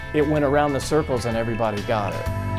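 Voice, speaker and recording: Over music in the background, a man talks at a fairly quick pace and medium pitch with lively intonation. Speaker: old time radio show host and collector. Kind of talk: interview answer.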